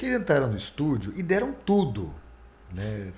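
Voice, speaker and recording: A man speaks at a medium pitch with very wide swings up and down. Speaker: radio announcer. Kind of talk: interview answer.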